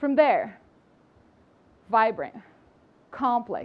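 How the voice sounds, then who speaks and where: With a Brazilian accent, a woman speaks at a fairly slow pace. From Brazil, outskirts of São Paulo. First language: Portuguese. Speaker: public health professional and speaker. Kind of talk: inspirational talk.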